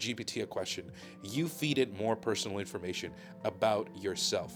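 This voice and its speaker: Music plays in the background as a man talks at a moderate pace. His pitch swings very widely. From Balkans. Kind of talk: unscripted rant to camera.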